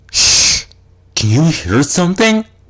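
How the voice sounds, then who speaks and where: A put-on character voice at a middle pitch. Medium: read story.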